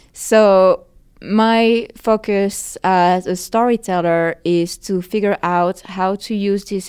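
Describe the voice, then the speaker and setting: On a very clean recording with a silent background, a woman with a French accent speaks in a monotone, flat intonation. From France. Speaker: film and VR producer. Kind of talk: interview. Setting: conference venue.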